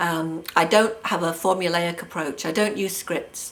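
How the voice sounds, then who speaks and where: A woman speaks with an English accent at a moderate pace. Her pitch is fairly low and her intonation fairly even. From England. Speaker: hypnotherapist. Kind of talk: self-introduction video monologue. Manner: hesitant, many fillers.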